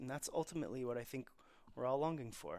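This man has an unremarkable speaking voice, fairly high in pitch, with an American accent and ordinary pitch variation. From Texas, Dallas. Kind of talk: interview.

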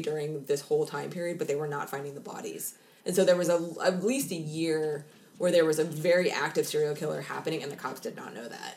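In a normal speaking voice, a woman with a fairly low pitch talks at a fairly quick pace, with ordinary pitch variation and big swings in loudness. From Seattle, US Pacific Northwest. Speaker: true crime podcast co-host. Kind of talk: casual chat.

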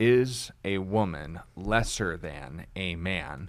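Very deep and low in pitch with vocal fry, a man speaks with ordinary pitch variation on a very clean recording with a silent background. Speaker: pastor. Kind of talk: live broadcast Bible Q&A discussion.

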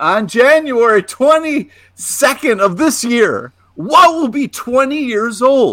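An American accent comes through as a man talks at a very slow pace. His voice is extremely high-pitched, with a bright, sharp tone and lively intonation. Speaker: podcast co-host.

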